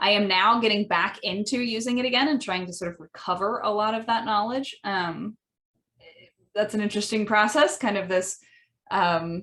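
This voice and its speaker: In a Midwestern American accent, the speaker uses a bright, sharp tone, a moderate pace and ordinary pitch variation. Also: woman, medium pitch for a woman. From US Midwest. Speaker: language educator. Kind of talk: podcast monologue. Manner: frequent fillers, um and uh.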